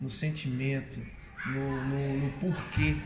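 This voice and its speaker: The man's voice sits fairly high in pitch, with audible room echo and noticeable background noise. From Minas Gerais, Brazil (Curvelo). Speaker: capoeira master. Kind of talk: interview.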